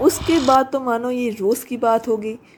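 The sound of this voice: A woman speaks at a moderate pace with a fairly high pitch. Her intonation stays fairly even.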